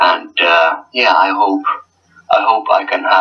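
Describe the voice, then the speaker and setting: A man with a Finnish accent, talking at a fairly slow pace. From Finland. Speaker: gaming league team coach. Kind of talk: casual interview. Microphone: poor audio quality.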